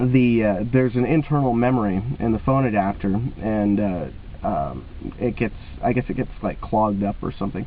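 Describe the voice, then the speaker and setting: Noticeable background noise accompanies a voice with ordinary pitch variation at a moderate pace. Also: man, fairly low pitch for a man. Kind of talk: casual talk to camera. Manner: hesitant, many filler words.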